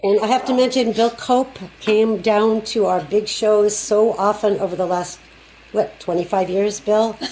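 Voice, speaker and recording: This voice holds fairly even intonation and very even loudness at a fairly slow pace, with noticeable background noise behind it. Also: woman, fairly high pitch for a woman. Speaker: folk ensemble director. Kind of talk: panel discussion.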